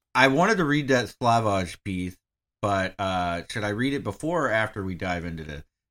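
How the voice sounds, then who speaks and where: With an American accent and a normal speaking voice, a man talks at a moderate pace in a fairly low pitch with lively intonation. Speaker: podcast co-host. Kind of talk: casual chat. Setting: video call.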